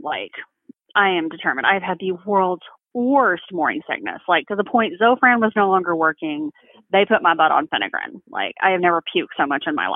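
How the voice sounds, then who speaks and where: With an American accent, a woman speaks in an unremarkable speaking voice at a medium pitch, fairly quick pace and lively intonation. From Texas. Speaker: bereaved mother. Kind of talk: testimony.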